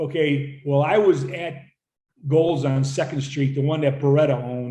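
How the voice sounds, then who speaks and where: The voice has a dark, mellow tone and is somewhat breathy, speaking at a moderate pace with fairly even intonation amid audible room echo. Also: man, fairly high pitch for a man. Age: 70s. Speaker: gym owner. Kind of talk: casual chat.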